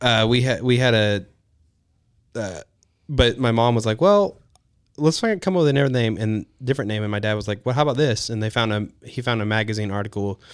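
A man with a Texan accent at medium pitch, a moderate pace with long, frequent pauses, ordinary pitch variation, and a very clean recording against a silent background. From Texas, Houston area. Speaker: hunting and wedding photographer. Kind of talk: casual chat.

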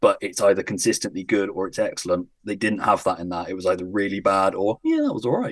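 Talking at a very fast pace, a man leaves hardly any pauses. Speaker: podcaster. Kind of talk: casual chat.

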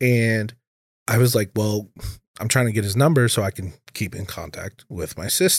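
Delivered at a moderate pace, this is a plain, everyday voice with an American accent. Its pitch variation is ordinary. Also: man, medium pitch for a man. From Minnesota. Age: 20s. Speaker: bartender and bouncer. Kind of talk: casual chat.

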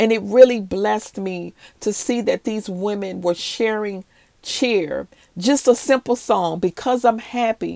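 A woman with an American accent has a fairly high voice and a dark, mellow tone. She talks at a fairly slow pace with ordinary pitch variation, in a dry, close sound with no echo. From US South, New Orleans and Maryland. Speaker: pastor. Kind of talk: devotional podcast talk.

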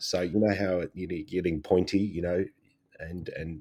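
A man's very deep, low pitch and dark, mellow tone, with fairly even intonation and an Australian accent. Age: 40s. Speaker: photographer and podcast co-host. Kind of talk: casual chat.

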